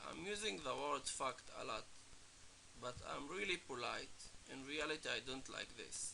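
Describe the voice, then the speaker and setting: At a moderate pace, a man with a non-native accent talks with long, frequent pauses. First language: not English. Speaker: music producer teaching production. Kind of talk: tutorial. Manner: casual, halting.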